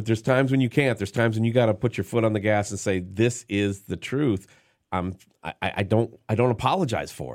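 A man's normal speaking voice, medium in pitch with ordinary pitch variation and big swings in loudness, at a fairly quick pace on a very clean recording with a silent background. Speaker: radio host. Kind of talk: casual chat.

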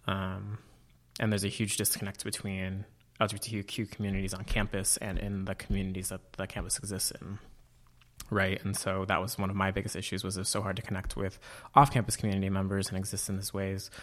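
A man with a Californian accent talks very fast in a fairly low, flat monotone, on a very clean recording with a silent background. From Northern California (Auburn, foothills below Tahoe). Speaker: grad student and campus LGBTQ organizer. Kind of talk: casual interview. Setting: studio with a lamp.

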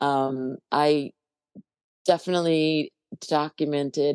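A woman with a very deep, low, gravelly voice speaks at a very slow pace in a dry, close recording with no echo. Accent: American. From New Jersey, US. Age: 60s. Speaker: musician and bass player.

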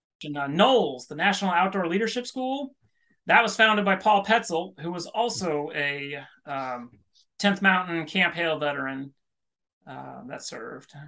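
A man with a high pitch and a bright, sharp tone speaks at a moderate pace with lively intonation. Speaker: army chaplain and author. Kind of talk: casual podcast interview.

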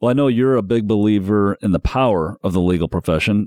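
Speaking at a fairly quick clip with a Midwestern American accent, a man with a fairly low voice comes through dry and close with no echo, on a very clean recording against a silent background. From Indiana, South Bend area. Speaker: podcast host, media executive. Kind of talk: interview.

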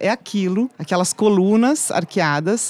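Speaking at a fairly slow pace, a woman uses an ordinary speaking voice. Her pitch varies in an ordinary way. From Brazil, interior of São Paulo state. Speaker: journalist, website founder. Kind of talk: casual chat. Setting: studio.

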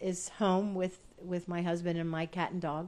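Here is a woman with a plain, everyday voice. She speaks at a medium pitch and a fairly slow pace. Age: 60s. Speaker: retired science writer and running coach. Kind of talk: casual interview chat.

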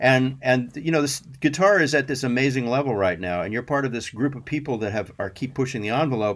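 A man's unremarkable speaking voice at medium pitch, with ordinary pitch variation, a fairly quick pace and hardly any pauses, in a very clean recording with a silent background. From US Southwest, Albuquerque, New Mexico. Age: 60s. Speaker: session guitarist. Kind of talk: casual chat. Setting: studio.

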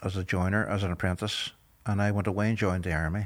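A man with a Derry accent and fairly low pitch is heard in a very clean recording with a silent background. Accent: Northern Irish (Derry). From Northern Ireland, Derry. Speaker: former paramilitary prisoner. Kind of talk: interview testimony.

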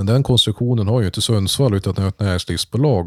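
In a very clean recording with a silent background and a dry, close sound with no echo, a man with a plain, everyday voice speaks at a fairly low pitch and fairly quick pace, with ordinary pitch variation. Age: 30s. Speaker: podcast host, local politician. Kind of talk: casual chat.

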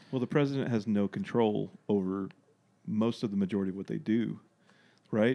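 Against a quiet background, a man with a Southern US accent speaks at a fairly quick pace in a fairly low, dark and mellow voice with ordinary pitch variation and long, frequent pauses. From US South, Arkansas. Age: 30s. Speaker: guest. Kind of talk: casual chat. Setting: studio.

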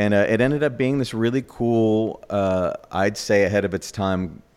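An ordinary speaking voice from a man with an American accent, at a moderate pace with ordinary pitch variation, on a very clean recording with a silent background. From New York. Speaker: baker and bakery owner. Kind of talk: interview.

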